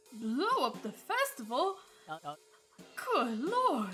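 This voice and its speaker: A put-on character voice, drawling at a very slow pace, with music in the background. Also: woman. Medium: solo performance. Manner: blustery drawl, folksy.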